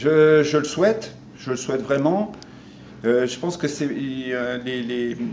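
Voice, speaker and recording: Noticeable background noise and audible room echo surround a man speaking at a very slow pace with long, frequent pauses. His pitch is fairly high, with ordinary variation. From France. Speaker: interviewee, son of Armenian immigrants. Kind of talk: interview. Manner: halting.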